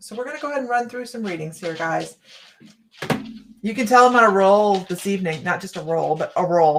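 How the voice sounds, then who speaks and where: A raspy, middle-pitched put-on character voice at a fairly quick pace. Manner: fast-talking, energetic.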